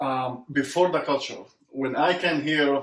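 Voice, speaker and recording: With an Arabic accent, a man speaks at a moderate pace and a fairly high pitch. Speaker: immigrant entrepreneur. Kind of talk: interview conversation.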